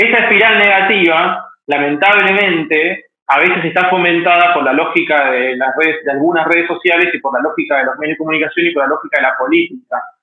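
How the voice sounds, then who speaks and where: Here a man talks at a fairly quick pace with hardly any pauses. His voice is high, with ordinary pitch variation. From Argentina, Mendoza. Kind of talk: interview.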